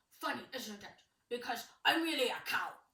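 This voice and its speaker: At a moderate pace, a put-on character voice comes through at a high pitch. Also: female-sounding voice. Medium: read story. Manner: gruff, curt.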